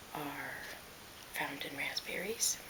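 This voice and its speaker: This woman speaks in a whisper, with noticeable noise in the background. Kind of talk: casual talk to camera, ASMR mukbang ramble. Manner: soft-spoken.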